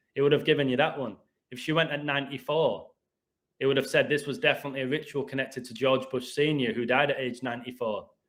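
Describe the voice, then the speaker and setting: A man with an English accent talks at a very fast pace in a medium pitch. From England. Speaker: gematria video host. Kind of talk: heated rant. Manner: animated.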